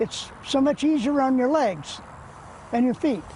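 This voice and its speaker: This man has an American accent. His pitch is extremely high. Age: 80s+. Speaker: competitive cyclist. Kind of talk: interview answer.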